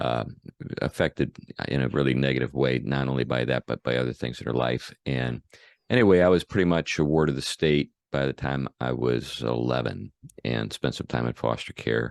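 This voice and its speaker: A man with an American accent talks at a moderate pace in a very deep, low pitch with vocal fry and fairly even intonation, the sound dry and close with no echo. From US Northeast/Midwest (Buffalo, St. Louis). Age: 60s. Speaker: pastor. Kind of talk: interview. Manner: hesitant, many fillers.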